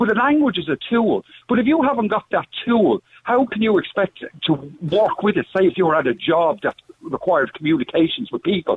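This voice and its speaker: In an Irish accent, the speaker talks at a fairly quick pace with very wide pitch swings and very even loudness. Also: man, high pitch for a man. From Netherlands. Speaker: caller. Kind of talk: phone-in call. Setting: phone call.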